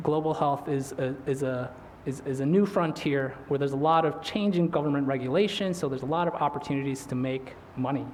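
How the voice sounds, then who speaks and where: Mumbling at a fairly quick pace, a man with a fairly high pitch and fairly even intonation is heard with audible room echo and noticeable background noise. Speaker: invited speaker, physician. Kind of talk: lecture. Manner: fast.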